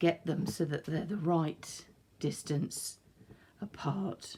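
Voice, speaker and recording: A woman speaks at a very slow pace with a very deep, low pitch. Her tone is dark and mellow, and somewhat breathy. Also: very clean recording, silent background. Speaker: art instructor. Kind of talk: tutorial. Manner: calm, instructive.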